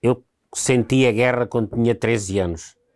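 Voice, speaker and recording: A man with a plain, everyday voice speaks at a fairly slow pace and medium pitch, with ordinary pitch variation, in a very clean recording with a silent background. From Alentejo, Portugal (Montemor-o-Novo). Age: 60s. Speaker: war veteran. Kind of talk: interview testimony.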